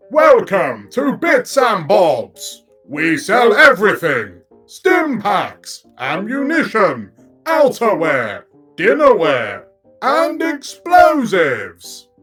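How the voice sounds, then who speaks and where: In a put-on, robotic character voice with a fairly high pitch, the speaker goes at a very slow pace over faint background music. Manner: polite.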